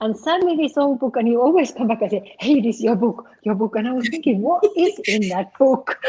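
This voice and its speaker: This woman has lively intonation and a dark, mellow tone. Her fairly quick delivery is somewhat breathy. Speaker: talk show host and movement method teacher. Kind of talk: interview.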